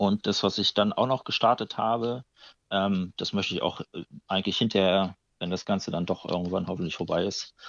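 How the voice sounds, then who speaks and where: A man with a fairly low pitch talks fairly quickly, his pitch varying in an ordinary way. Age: 30s. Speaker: aquarium club chairman. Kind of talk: casual interview. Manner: hesitant, many filler sounds.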